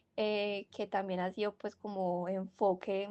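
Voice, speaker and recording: A woman's medium-pitched voice with a strong Antioquian accent. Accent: strong paisa. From Colombia, Medellín (paisa). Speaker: university student podcast co-host. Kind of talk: casual discussion podcast. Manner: hesitant, many fillers.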